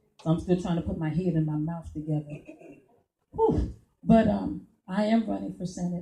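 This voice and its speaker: A woman's somewhat breathy, dark, mellow voice at a fairly low pitch and a fairly quick pace. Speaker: political candidate. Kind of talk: campaign speech. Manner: halting.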